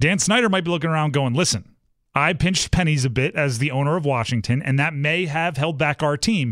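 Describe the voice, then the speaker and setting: An ordinary speaking voice at a fairly quick pace, with ordinary pitch variation, very even loudness, and a very clean recording over a silent background. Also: man, fairly high pitch for a man. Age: 30s. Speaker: sports radio host. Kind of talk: sports talk radio.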